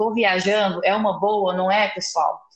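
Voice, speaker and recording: A woman with a fairly high pitch talks at a fairly slow pace amid noticeable background noise. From interior of São Paulo, Brazil. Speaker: podcast host, journalist. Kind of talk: casual interview chat.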